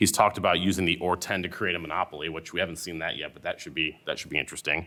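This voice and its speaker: Over a silent background on a very clean recording, a man with a very deep, low pitch and a bright, sharp tone talks at a very fast pace with fairly even intonation and big swings in loudness. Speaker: antitrust lawyer. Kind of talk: panel talk.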